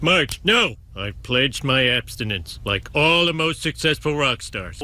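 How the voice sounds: A cartoonish character voice from a man, fairly high in pitch, at a moderate pace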